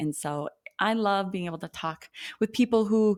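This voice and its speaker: With an Upper Midwest accent, a woman speaks in an animated tone at a medium pitch with ordinary pitch variation, recorded very cleanly against a silent background. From North Dakota. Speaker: occupational therapist, podcast host. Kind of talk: casual interview chat.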